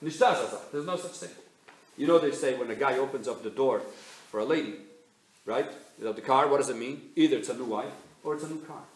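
This man talks at a fairly quick pace in an American accent, with long, frequent pauses and big swings in loudness. His pitch is fairly high with ordinary variation, and noticeable background noise runs underneath. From Milan, Italy, then New York. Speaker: rabbi, community speaker. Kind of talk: speech to an audience. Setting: stage with live audience.

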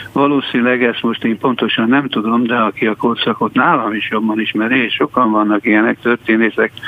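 A man with a medium pitch and fairly even intonation talks against noticeable background noise. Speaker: journalist. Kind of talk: radio interview. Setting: studio. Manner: halting.

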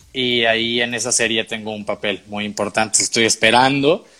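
This man talks at a moderate pace in a monotone, flat intonation with a bright, sharp tone. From Tamaulipas border region, Mexico / South Texas. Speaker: actor and writer. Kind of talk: interview.

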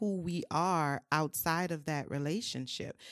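A woman's very deep, low pitch in a New Orleans accent, with a dry, close sound and no echo. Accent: New Orleans Southern US. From US South, New Orleans. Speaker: mental health and wellness creative. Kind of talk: casual chat.

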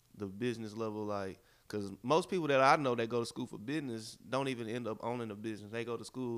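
A man at medium pitch and a very fast pace, with ordinary pitch variation, in a very clean recording with a silent background. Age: 20s. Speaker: podcast co-host, entrepreneur. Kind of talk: casual chat.

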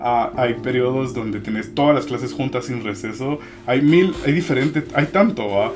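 There is noticeable background noise. A man at a medium pitch talks at a moderate pace with ordinary pitch variation. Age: 20s. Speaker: illustrator and graphic designer. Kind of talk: casual chat.

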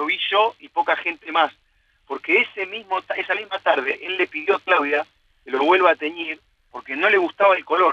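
The speaker keeps a moderate pace and ordinary pitch variation, while the loudness swings widely. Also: man, high pitch for a man. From Argentina, Buenos Aires area. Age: 40s. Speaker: sports journalist. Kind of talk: casual interview. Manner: halting.

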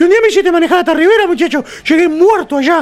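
A man with an animated tone. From Uruguay (Florida department). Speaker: radio host. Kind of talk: casual chat.

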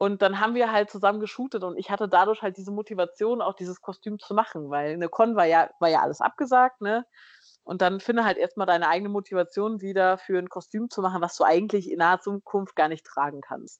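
Over a quiet background, a woman of medium pitch speaks at a very fast pace with ordinary pitch variation and a dry, close sound with no echo. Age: 20s. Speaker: biochemist and cosplayer. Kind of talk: casual interview chat.

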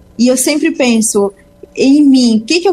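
A woman with a high voice speaks at a moderate pace and with lively intonation, over noticeable background noise. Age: 20s. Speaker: business mentor and entrepreneur. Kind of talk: radio interview.

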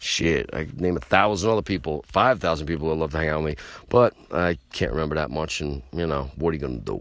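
In an American accent, the speaker talks at a very fast pace with hardly any pauses, animated and with vocal fry, the pitch varying in an ordinary way. The recording is very clean, with a silent background. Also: man, very deep, low pitch for a man. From New York City (Queens). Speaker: podcast host, hardcore punk musician. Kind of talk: casual monologue. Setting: late night home show.

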